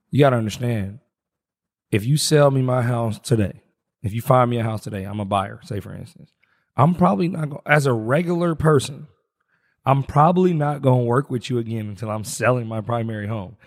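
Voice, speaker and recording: Animated in tone, a man with an American accent talks at a fairly quick pace, using a medium pitch and ordinary pitch variation. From US Midwest. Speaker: podcast co-host. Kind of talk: casual chat.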